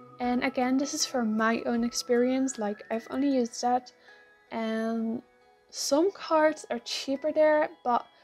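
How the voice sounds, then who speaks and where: A woman's high voice at a fairly slow pace, with ordinary pitch variation and music in the background. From Netherlands. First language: Dutch. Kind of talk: casual talk to camera. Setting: earphone mic.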